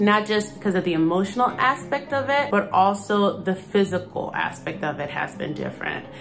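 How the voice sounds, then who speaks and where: A woman talks at a moderate pace. Music is clearly audible behind her. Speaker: vlogger sharing personal experience. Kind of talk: casual vlog chat. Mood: calm, earnest, personal. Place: home room. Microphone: phone near.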